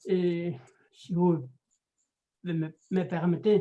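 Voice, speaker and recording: A man with a Spanish accent, high in pitch and dark, mellow in tone. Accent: Spanish, out of practice in French. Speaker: anthropologist and writer. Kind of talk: interview. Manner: halting.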